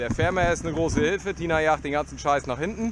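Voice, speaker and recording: Over noticeable background noise, a man speaks at a moderate pace with ordinary pitch variation, the sound dry with no echo. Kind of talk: casual vlog commentary. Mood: joking, relaxed. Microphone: helmet.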